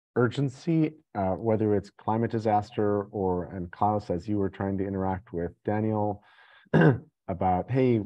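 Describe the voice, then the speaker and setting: The man's speech shows ordinary pitch variation. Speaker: meeting facilitator. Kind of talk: meeting discussion. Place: home room. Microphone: video call.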